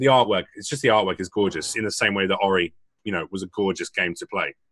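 Music plays in the background as a man talks in a fairly low voice with ordinary pitch variation. The sound is dry and close, with no echo. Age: 30s. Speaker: gaming guest. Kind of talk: casual chat. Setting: livestreamed podcast.

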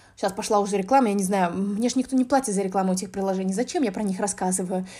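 A woman's very fast speech at a fairly high pitch, with a dark, mellow tone. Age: 20s. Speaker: podcast host, business developer in games. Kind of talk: casual solo monologue. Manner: talkative, frequent filler sounds. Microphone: basic app recording, no good microphone.

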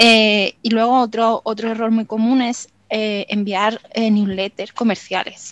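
Speaking at a fairly slow pace, a woman with a fairly high pitch keeps a monotone, flat intonation in a dry, close sound with no echo. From Málaga, Andalusia, Spain. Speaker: copywriter. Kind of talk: interview. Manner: halting.

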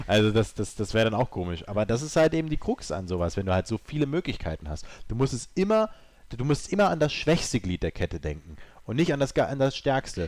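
A man talks at a very fast pace with very wide pitch swings. The recording is very clean, with a silent background. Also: medium pitch for a man. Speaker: video game podcast guest. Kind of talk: casual chat. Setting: studio.

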